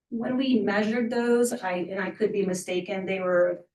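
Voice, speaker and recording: Her intonation is fairly even and her pace moderate. The woman has an unremarkable speaking voice at a medium pitch. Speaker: applicant at a city review board. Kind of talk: public hearing presentation. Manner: formal.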